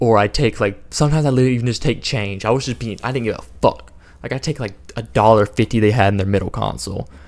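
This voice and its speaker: Through a very clean recording with a silent background, a man of medium pitch speaks at a very fast pace with vocal fry and ordinary pitch variation. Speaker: storytime youtuber. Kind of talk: storytelling.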